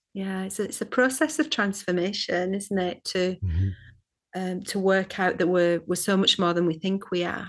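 Speaking at a moderate pace, a woman with a Scottish accent has a medium pitch and ordinary pitch variation. The background is quiet. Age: 50s. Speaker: psychotherapist and shamanic teacher. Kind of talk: interview. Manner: halting, many fillers and repeats.

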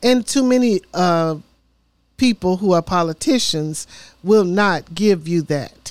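With a Tennessee accent, a woman talks at a fairly slow pace and a medium pitch. Her intonation is lively, and the sound is dry and close with no echo. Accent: Southern US (Tennessee). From Memphis, Tennessee. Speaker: mayoral candidate and city council member. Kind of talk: interview. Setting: studio.

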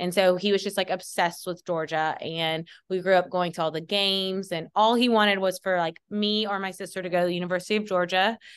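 With a Southern US accent, a woman speaks at a medium pitch and a very fast pace, hardly any pauses, monotone, flat intonation and a quiet background. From US South. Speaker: college football sports dietitian. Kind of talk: casual interview.

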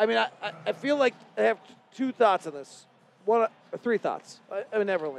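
A man at a high pitch, talking at a fairly quick pace with lively intonation, long, frequent pauses and big swings in loudness, in a dry, close sound with no echo. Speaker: radio sports host. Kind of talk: casual sports talk.

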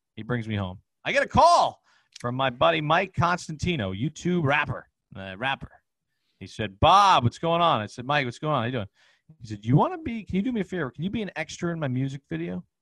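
With a bright, sharp tone, a man speaks at a very fast pace in a fairly high voice, his pitch swinging very widely and his loudness in big swings, the sound dry and close with no echo. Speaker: comedian and social media personality. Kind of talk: storytelling interview. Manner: animated.

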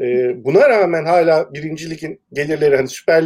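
A man's dark, mellow tone, fairly high in pitch, at a fairly quick pace. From Turkey, Eskişehir. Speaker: sports columnist and music industry worker. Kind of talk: casual chat. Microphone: bad internet connection, voice keeps cutting out.

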